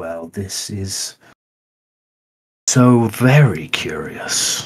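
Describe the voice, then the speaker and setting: In a put-on character voice, the speaker sounds raspy, with a low pitch and a very slow pace. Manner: horrible, menacing.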